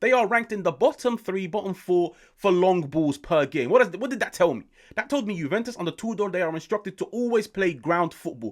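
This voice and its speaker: A man's high-pitched voice with lively intonation, on a very clean recording with a silent background. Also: fairly quick pace. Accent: British. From UK. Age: 20s. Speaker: football YouTuber. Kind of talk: football match reaction and analysis. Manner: animated.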